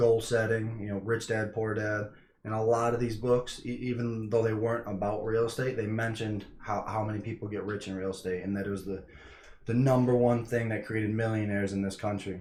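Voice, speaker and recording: Over audible room echo, a man with an American accent talks at a fairly quick pace in a fairly low pitch. His voice is somewhat breathy and his intonation monotone and flat. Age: 20s. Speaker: real estate investor. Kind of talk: casual vlog talk. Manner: halting, many fillers.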